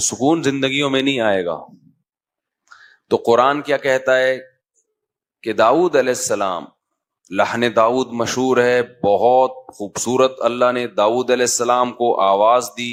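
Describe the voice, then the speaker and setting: A man speaks in a normal speaking voice, his pitch medium and his intonation fairly even. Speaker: Islamic scholar and preacher. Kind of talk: Islamic sermon (bayan) to an audience. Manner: fluent, engaging, preaching delivery.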